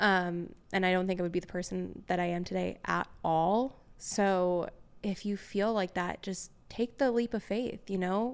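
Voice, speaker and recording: A woman with an American accent at a fairly slow pace, her intonation fairly even, in a very clean recording with a silent background. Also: medium pitch for a woman. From New York. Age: 20s. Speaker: tour photographer. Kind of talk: podcast interview.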